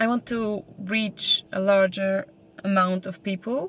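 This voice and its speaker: In a Polish accent, a woman of medium pitch speaks at a very slow pace with fairly even intonation. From Poland. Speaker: vlogger. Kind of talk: casual chat. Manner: halting.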